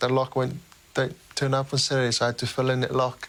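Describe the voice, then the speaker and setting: A man with a Tongan accent, medium pitch, moderate pace. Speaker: professional rugby player. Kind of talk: interview answer.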